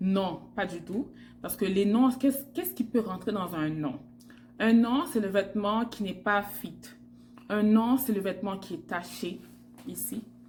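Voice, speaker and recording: Against music in the background, a woman at medium pitch talks at a fairly slow pace with lively intonation and big swings in loudness. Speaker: fashion stylist vlogger. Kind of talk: tutorial. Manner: hesitant with fillers.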